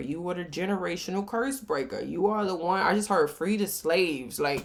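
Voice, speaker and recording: A woman with a fairly low pitch talks at a fairly quick pace, animated in tone and lively in intonation. Noticeable noise sits in the background. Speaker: tarot reader. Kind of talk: tarot reading. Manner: loud.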